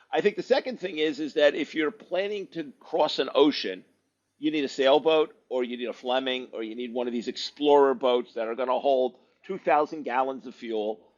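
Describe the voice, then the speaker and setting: A man speaks in an unremarkable speaking voice at a moderate pace with ordinary pitch variation. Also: fairly high pitch for a man. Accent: American. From US South. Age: 60s. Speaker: boat owner and surgeon. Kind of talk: podcast interview.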